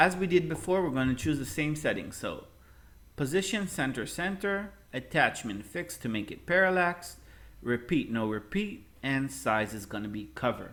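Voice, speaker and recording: Speaking with a non-native accent, a man uses a fairly high pitch with very wide pitch swings at a moderate pace. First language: not English. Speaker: web design teacher. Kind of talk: tutorial. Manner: casual.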